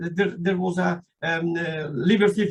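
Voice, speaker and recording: High in pitch, a man speaks with a non-native accent. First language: not English; speaks French generally. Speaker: invited speaker on Afghanistan. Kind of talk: political talk at meeting. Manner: halting, many fillers.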